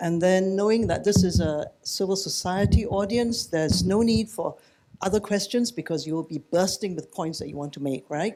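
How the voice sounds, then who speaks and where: In a Singaporean accent, a man with a high pitch and a dark, mellow tone talks at a moderate pace with ordinary pitch variation. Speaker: panel moderator. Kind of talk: moderating a panel. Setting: book launch panel with audience. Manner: casual, relaxed.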